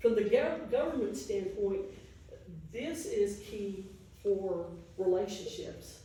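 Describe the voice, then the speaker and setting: Speaking very slowly with an American accent, a woman leaves long, frequent pauses at a medium pitch. Room echo is audible, and there is noticeable background noise. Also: lively intonation. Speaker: educator and travel speaker. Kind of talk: audience Q&A at a public talk. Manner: hesitant, many fillers.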